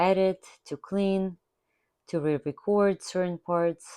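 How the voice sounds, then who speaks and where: In a very clean recording with a silent background and a dry, close sound with no echo, a woman with a non-native accent speaks in a fairly low pitch with a dark, mellow tone and fairly even intonation. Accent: foreign accent, kept after many years. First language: not English. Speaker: art therapy instructor. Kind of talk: tutorial.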